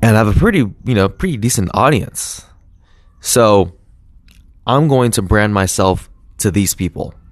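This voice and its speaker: Fairly low in pitch, a man speaks in an upbeat tone at a moderate pace, using ordinary pitch variation and long, frequent pauses. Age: 20s. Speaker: podcast host. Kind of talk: casual solo monologue. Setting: outdoors in backyard. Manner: casual, upbeat.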